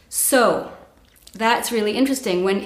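A woman with a fairly high pitch and fairly even intonation at a fairly quick pace, with audible room echo and noticeable background noise. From Montreal, Canada. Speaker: coach and workshop leader. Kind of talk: casual interview.

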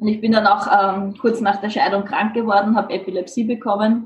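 A woman talks at a moderate pace and medium pitch, her voice somewhat breathy and her intonation monotone and flat. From Lower Austria, Mödling. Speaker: spiritual coach and trainer. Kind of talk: interview.

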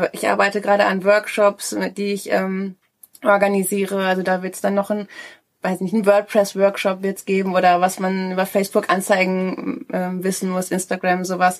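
At a moderate pace, a woman speaks with medium pitch and a flat, monotone intonation. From Ruhr area, Germany (Schwerte). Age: 30s. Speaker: co-founder of a coworking hub. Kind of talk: interview. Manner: hesitant, many fillers.

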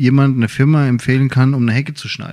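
This man's dark, mellow tone sits at a medium pitch as he talks at a moderate speed. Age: 30s. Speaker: podcast co-host, firefighter. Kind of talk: casual chat.

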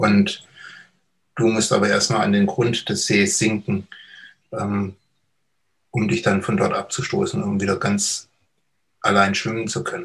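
A man at a fairly slow pace, broken by long, frequent pauses. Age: 50s. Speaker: recovered addict, hypnotherapist. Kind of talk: personal testimony interview.

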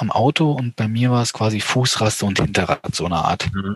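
There is no echo, and the sound is dry and close. Moving at a moderate pace, a man speaks with ordinary pitch variation. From eastern Germany. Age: 30s. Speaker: amputee motocross rider. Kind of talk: interview.

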